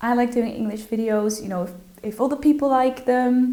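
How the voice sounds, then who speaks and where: A woman with a Dutch accent speaks at a moderate pace in a fairly high pitch with fairly even intonation, with audible room echo and noticeable background noise. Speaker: social media influencer. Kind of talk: interview. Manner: hesitant, many fillers and repetitions.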